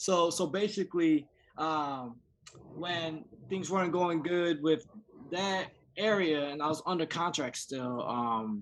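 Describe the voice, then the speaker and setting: Speaking at a very slow pace, a man with an American accent shows ordinary pitch variation. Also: fairly high pitch for a man. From US East Coast, raised partly mid-South. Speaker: rapper. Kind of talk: casual interview. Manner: halting, repeating words.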